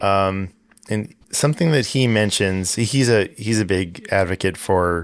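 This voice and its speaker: With a plain, everyday voice, a man speaks at a fairly slow pace with ordinary pitch variation and very even loudness, on a very clean recording with a silent background. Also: fairly low pitch for a man. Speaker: podcast host. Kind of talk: interview question.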